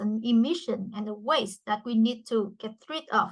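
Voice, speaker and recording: A woman speaks with a Vietnamese accent. Her pitch is fairly high and her pace fairly slow. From Vietnam, Mekong Delta. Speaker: startup CEO. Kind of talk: business pitch. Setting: virtual event video call.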